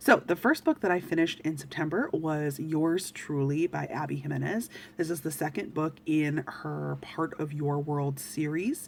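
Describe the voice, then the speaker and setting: A woman's very deep, low voice at a moderate pace, with fairly even intonation, hardly any pauses and noticeable background noise. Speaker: book reviewer. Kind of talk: casual chat.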